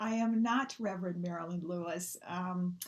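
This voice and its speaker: A woman with a slight Midwestern US accent sounds somewhat breathy and shows ordinary pitch variation. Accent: Midwest twang, slight. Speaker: minister. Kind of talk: sermon. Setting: online church service.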